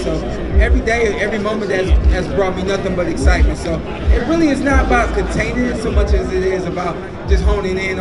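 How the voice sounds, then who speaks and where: A man speaks at a very fast pace. Crowd noise fills the background. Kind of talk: interview answer. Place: stage.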